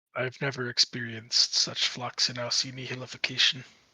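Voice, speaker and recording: Putting on a character voice, a man sounds raspy at medium pitch, with monotone, flat intonation, a moderate pace and a dry, close sound with no echo. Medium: actual play. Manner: terse, grandiose, dry.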